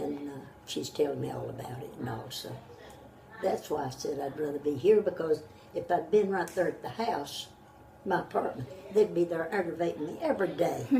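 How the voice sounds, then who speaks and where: Noticeable background noise runs under a woman with a Southern US accent speaking at a fairly quick pace. Her fairly low pitch varies in an ordinary way, while her loudness swings widely. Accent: Southern American. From North Carolina. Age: 80s+. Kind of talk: interview answer.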